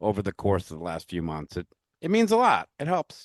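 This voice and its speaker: In a dry, close sound with no echo and a quiet background, a man speaks at a fairly low pitch. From New York. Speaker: pinball podcast host. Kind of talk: casual podcast chat and outro. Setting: virtual recording.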